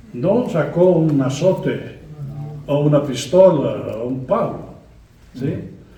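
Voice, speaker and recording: Amid noticeable background noise and audible room echo, a man with a fairly high pitch and lively intonation talks at a very slow pace with long, frequent pauses. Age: 80s+. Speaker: guest preacher. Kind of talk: sermon. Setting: church.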